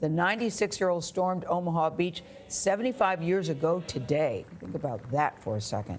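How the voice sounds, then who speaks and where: This woman has a plain, everyday voice, pitched fairly low, with lively intonation. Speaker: TV news anchor. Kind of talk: morning news anchor read.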